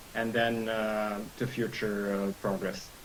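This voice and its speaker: At a fairly slow pace, a man speaks with a Serbian accent. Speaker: lawyer. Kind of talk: legal briefing in a meeting. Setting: video call. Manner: halting, many fillers.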